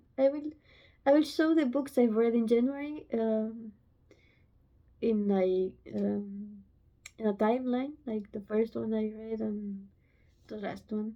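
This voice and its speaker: With a Romanian accent, a woman talks at a fairly slow pace, taking long, frequent pauses. Her pitch is fairly high, with ordinary variation. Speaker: book vlogger. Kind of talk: casual vlog talk to camera. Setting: home, filming on phone. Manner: halting. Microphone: phone mic, no microphone.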